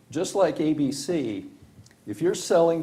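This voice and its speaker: A man with an American accent speaks at a fairly slow pace, his dark, mellow tone somewhat breathy and his intonation lively. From Washington, D.C. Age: 70s. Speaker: county supervisor. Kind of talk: public meeting deliberation. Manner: conversational, halting.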